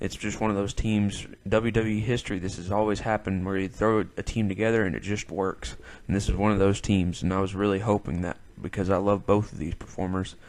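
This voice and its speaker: A man's fairly low voice in a Southern US accent, with monotone, flat intonation. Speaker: wrestling podcast host. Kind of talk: solo podcast review. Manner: casual, hesitant with fillers.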